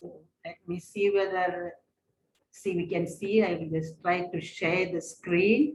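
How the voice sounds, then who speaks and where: A woman speaks with an Indian accent in a somewhat breathy voice. Her pace is fairly slow and her intonation fairly even. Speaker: religious sister and spiritual director. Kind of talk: webinar presentation.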